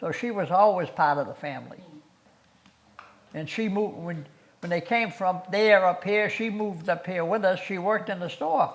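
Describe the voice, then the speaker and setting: A man with a Massachusetts accent, high-pitched, at a moderate pace, with ordinary pitch variation, big swings in loudness and noticeable background noise. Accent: New England (Massachusetts). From Massachusetts, Ashby (north-central). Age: 80s+. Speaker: local resident sharing town history. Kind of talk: oral history interview. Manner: halting, with repetitions.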